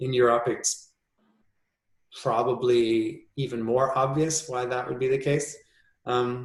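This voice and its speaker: Somewhat breathy and at a medium pitch, a man speaks slowly-ish, at a fairly slow pace, with a North American accent. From US Midwest, Minnesota. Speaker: composer. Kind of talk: interview conversation. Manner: thoughtful, hesitant with fillers.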